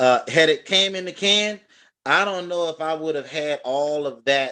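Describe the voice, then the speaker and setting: A man talks at a moderate pace with an American accent. His pitch varies in an ordinary way, over a quiet background. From Texas. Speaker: chef and restaurant owner. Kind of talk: interview. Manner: halting with fillers.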